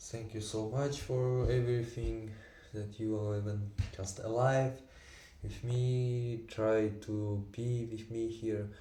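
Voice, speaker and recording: Amid noticeable background noise and audible room echo, a man of medium pitch speaks very slowly with monotone, flat intonation. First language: Tatar and Russian. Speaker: vlogger. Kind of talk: casual monologue. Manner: halting, many fillers.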